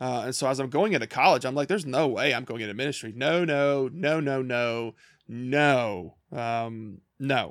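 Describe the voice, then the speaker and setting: This man speaks with a Kentucky accent and ordinary pitch variation. He hardly pauses at all. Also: medium pitch for a man, moderate pace, very clean recording, silent background. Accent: Southern US (Kentucky). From rural small-town Kentucky. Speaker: missionary and podcast co-host. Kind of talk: casual chat. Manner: halting, many repeated words.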